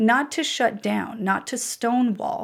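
With vocal fry at medium pitch and ordinary pitch variation, a woman speaks on a very clean recording with a silent background. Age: 30s. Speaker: career coach and podcaster. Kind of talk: casual chat.

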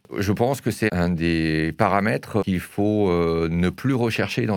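Here a man speaks with a very deep, low pitch. His intonation is lively. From Alsace, France. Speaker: wine merchant. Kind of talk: interview. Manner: hesitant, frequent fillers.

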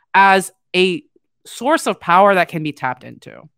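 A woman at medium pitch and moderate pace, dry and close with no echo, on a very clean recording with a silent background. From Latin America. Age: 30s. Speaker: social media content strategist. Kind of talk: casual political chat.

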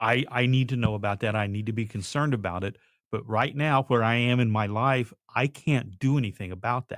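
A man with an ordinary speaking voice, medium pitch, fairly even intonation and a moderate pace, in a very clean recording with a silent background. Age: 60s. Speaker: podcast co-host. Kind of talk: casual conversation.

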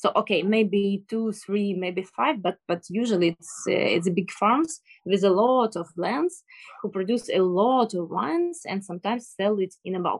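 Recorded with a dry, close sound and no echo, a woman with a Ukrainian accent speaks at a fairly slow pace and medium pitch. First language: Ukrainian or Russian. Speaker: sommelier. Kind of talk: interview. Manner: halting. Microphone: bad internet connection.

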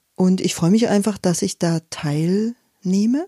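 A woman talks at a medium pitch with ordinary pitch variation and a dark, mellow tone. The sound is dry and close, with no echo. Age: 50s. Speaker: forest educator and workshop leader. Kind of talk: interview. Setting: at her home.

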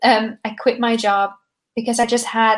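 A normal speaking voice from a woman, fairly high in pitch, with fairly even intonation and a fairly slow pace. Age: 20s. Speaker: startup founder. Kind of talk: casual interview chat. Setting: video call.

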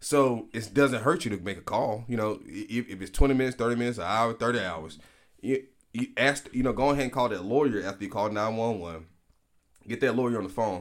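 In an Alabama accent, a man rattles along at a very fast pace with a medium pitch and ordinary pitch variation. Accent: Southern US (Alabama). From US South, Prichard, Alabama (Mobile County). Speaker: lawyer. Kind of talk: casual interview. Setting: studio.

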